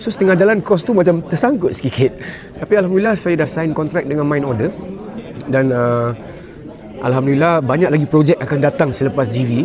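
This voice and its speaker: Noticeable background noise surrounds a man whose voice sits fairly high. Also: lively intonation, fairly quick pace. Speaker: singer, talent show contestant. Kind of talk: interview. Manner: halting.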